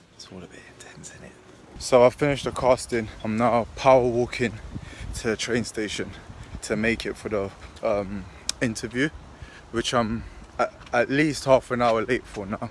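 A man with a London accent at a moderate pace, with fairly even intonation, big swings in loudness and long, frequent pauses, in dry sound with no echo over light background noise. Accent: London English, multicultural London. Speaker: professional boxer vlogger. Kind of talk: casual vlog narration. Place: street. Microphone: phone near.

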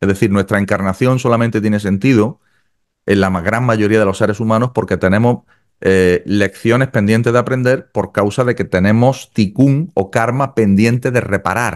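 In an ordinary speaking voice, a man talks at a moderate pace with fairly low pitch, ordinary pitch variation, very even loudness and a quiet background. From Andalusia, Spain. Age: 50s. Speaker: kabbalah teacher. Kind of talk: interview about kabbalah. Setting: video call. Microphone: studio mic.

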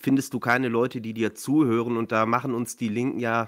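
The background is quiet. A man speaks at a moderate pace, his intonation fairly even. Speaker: remote podcast guest. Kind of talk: interview answer.

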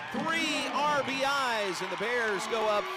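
A man speaks while music plays in the background. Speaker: sports commentator. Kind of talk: live play-by-play sports commentary in a highlight reel. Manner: emphatic on strikeouts and home runs.

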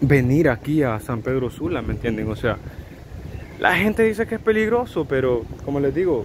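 There is noticeable background noise while a man speaks. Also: dry sound with no echo. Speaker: travel vlogger. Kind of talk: casual vlog chat. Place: street. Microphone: phone near.

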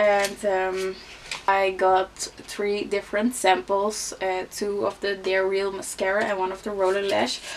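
A woman with a Dutch accent speaks at a fairly slow pace and medium pitch, her intonation monotone and flat over light background noise. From Netherlands. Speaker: beauty vlogger. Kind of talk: casual vlog talk. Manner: hesitant, many fillers. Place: home room.

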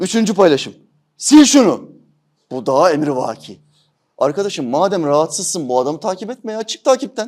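A man talks at a fairly quick pace in a high pitch with very wide pitch swings. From Turkey. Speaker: religious teacher. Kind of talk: religious commentary talk. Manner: animated.

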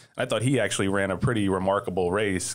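A man speaks with a very deep, low pitch. His pace is very fast. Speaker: horse racing journalist and podcast host. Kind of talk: casual panel discussion. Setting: studio. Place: studio. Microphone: studio mic.

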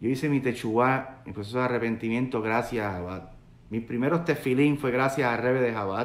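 A man with a Puerto Rican accent at a moderate pace, ordinary pitch variation, audible room echo. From Puerto Rico. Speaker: rabbi. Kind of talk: sermon. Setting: live video stream, online. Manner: conversational, searching for words. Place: home room. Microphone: phone near.

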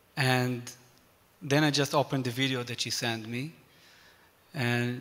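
A man with an Israeli accent at a moderate pace. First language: Hebrew. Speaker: musician and former army officer. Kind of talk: panel discussion. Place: church. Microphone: handheld.

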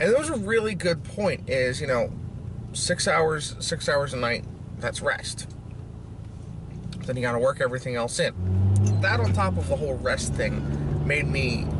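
Loud background noise surrounds a man speaking at a moderate pace with long, frequent pauses, the sound dry with no echo. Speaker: fitness vlogger. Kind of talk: casual vlog chat. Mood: relaxed, chipper. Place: car. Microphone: lapel.

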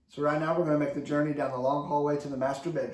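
Speaking fast, a man has a fairly high pitch with little pitch movement. His tone is slightly mellow.

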